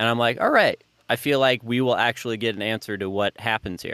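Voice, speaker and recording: A man with an unremarkable speaking voice, medium pitch and fairly even intonation. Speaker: podcast co-host. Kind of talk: casual chat.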